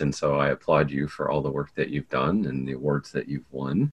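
The man has a very deep, low pitch. Vocal fry runs through his voice. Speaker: podcast host and educator. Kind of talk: interview conversation.

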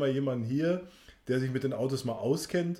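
Fairly high male pitch carrying a dark, mellow tone, a man's voice with fairly even intonation. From Sauerland, Germany. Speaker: podcast host. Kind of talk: casual chat.

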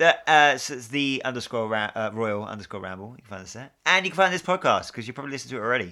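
Talking very fast with hardly any pauses, a man with a British accent uses a medium pitch, a bright, sharp tone, lively intonation and big swings in loudness. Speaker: podcast host. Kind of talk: casual chat. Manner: joking, banter.

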